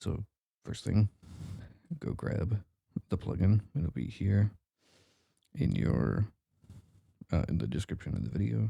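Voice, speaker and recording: Soft-spoken and showing vocal fry, a man talks with long, frequent pauses. The sound is dry and close, with no echo. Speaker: modding tutorial creator. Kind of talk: tutorial. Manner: quiet, soft-spoken; hesitant with fillers.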